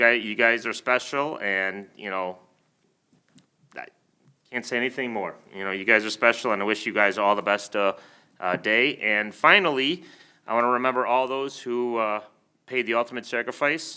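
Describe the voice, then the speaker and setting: A man speaks loudly at a moderate pace, medium-pitched with a bright, sharp tone and ordinary pitch variation. He leaves long, frequent pauses. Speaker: village trustee, retired police officer. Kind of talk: board meeting remarks. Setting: village board meeting room.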